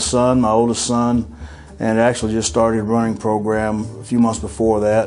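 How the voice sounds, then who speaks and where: Ordinary pitch variation at a moderate pace, with audible room echo and noticeable background noise. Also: man. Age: 50s. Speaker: heart attack survivor. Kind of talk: testimony. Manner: hesitant, many uh fillers.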